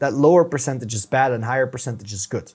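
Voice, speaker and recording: A man with a European accent talks in a somewhat breathy voice. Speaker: YouTube strategist. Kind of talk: podcast interview.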